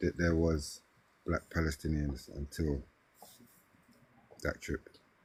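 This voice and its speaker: A man in a South London accent speaks at a moderate pace with a very deep, low pitch, somewhat breathy delivery and fairly even intonation. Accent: South London twang. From South London, Brixton. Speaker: hip-hop artist. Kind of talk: casual interview.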